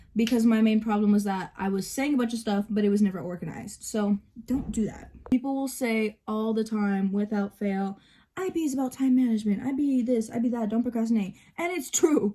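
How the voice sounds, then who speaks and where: A woman speaks at a fairly quick pace in a fairly high voice. Her tone is dark and mellow, and somewhat breathy. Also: ordinary pitch variation. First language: bilingual, Spanish spoken at home. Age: 18. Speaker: vlogger. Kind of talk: casual get-ready-with-me vlog. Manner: hesitant with fillers.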